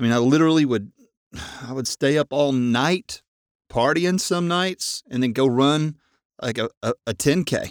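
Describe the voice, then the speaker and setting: Lively intonation marks this fairly slow speech in a Southern US accent, recorded very cleanly with a silent background and a dry, close sound with no echo. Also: man. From Arkansas, US South. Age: 50s. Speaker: podcast host, amateur runner. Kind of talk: personal monologue. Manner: hesitant, many fillers and repeats.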